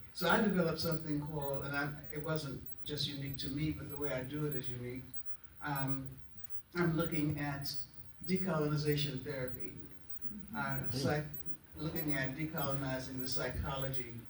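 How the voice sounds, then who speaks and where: A man with an American accent talks at a fairly quick pace, with long, frequent pauses. Room echo is audible, along with noticeable background noise. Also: fairly high pitch for a man, fairly even intonation. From US South (Florida, Raleigh, North Carolina). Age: 80s+. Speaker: retired clinician, psychotherapist. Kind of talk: audience comment at a discussion event. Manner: halting, with fillers.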